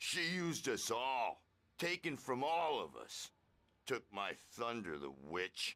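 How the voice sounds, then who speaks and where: Using a put-on character voice, a man sounds raspy at a medium pitch. He goes at a fairly slow pace. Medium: video game. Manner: gruff, scolding.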